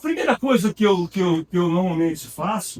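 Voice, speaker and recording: A man's high voice at a moderate pace, with very wide pitch swings. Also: dry, close sound with no echo. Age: 60s. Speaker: architect and lecturer. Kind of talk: lecture. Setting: university auditorium. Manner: casual, conversational with many fillers.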